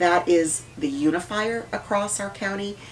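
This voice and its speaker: A woman's voice amid noticeable background noise. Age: 60s. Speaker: politician. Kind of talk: interview.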